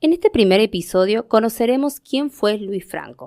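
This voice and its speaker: At a moderate pace, a woman speaks on a very clean recording with a silent background, the sound dry and close with no echo. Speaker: radio host. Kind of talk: radio program host narration and interview.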